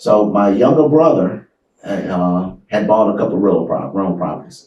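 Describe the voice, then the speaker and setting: A man with an American accent speaks at a moderate pace in a plain, everyday voice, his fairly low pitch carried by lively intonation. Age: 60s. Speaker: real estate investor and martial arts instructor. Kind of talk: interview. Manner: conversational.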